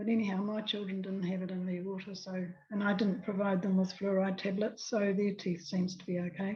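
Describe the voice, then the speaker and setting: A woman with a medium pitch speaks at a fairly quick pace with hardly any pauses, somewhat breathy and in a monotone, flat intonation. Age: 80s+. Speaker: anti-fluoride activist. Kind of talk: testimony. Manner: halting.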